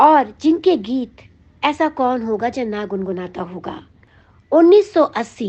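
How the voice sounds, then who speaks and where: This woman's pitch is fairly high. Her voice moves in very wide pitch swings. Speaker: radio jockey. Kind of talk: music history narration.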